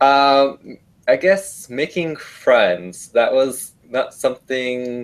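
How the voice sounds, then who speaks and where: A man speaks with a Vietnamese accent. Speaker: study abroad alumnus, university student. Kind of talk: interview answers.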